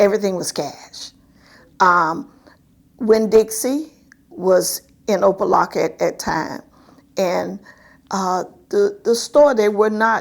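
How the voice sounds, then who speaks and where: A woman speaks at a very slow pace with a South Florida accent. Her intonation is lively. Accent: Southern US (South Florida). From Miami, Florida. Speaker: community activist. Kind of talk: oral history interview answer.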